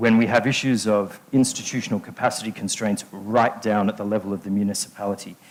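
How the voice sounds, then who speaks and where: In an Australian accent, a man talks at a very fast pace with hardly any pauses, fairly low pitch and fairly even intonation. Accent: non-South African accent, Australian. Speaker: infrastructure finance consultant. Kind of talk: conference panel talk.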